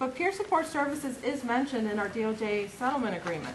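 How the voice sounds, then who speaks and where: A woman speaks fairly quickly, with audible room echo around her voice. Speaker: conference presenter, state mental health official. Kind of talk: conference presentation.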